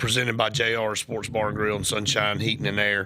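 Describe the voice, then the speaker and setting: This man has a bright, sharp tone and an Alabama accent. He speaks at a fairly quick pace. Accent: US South (Alabama). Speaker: sports radio host. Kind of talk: sports talk radio.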